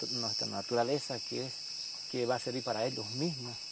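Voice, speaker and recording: A man with a Bolivian accent, dry sound with no echo, under loud background noise. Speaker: nature guide. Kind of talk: documentary interview. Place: forest.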